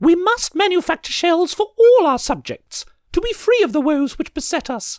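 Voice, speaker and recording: In a squeaky, put-on character voice at an extremely high pitch, the speaker goes at a moderate pace on a very clean recording with a silent background. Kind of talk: upper-class royal speech. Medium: read story. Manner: regal, formal.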